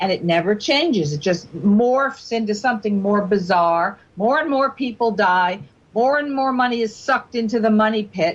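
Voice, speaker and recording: A woman speaks at a moderate pace with lively intonation and a fairly high pitch. Her voice is somewhat breathy, and her loudness stays very even. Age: 60s. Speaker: guest on talk radio, government critic. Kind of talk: radio talk show discussion. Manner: animated.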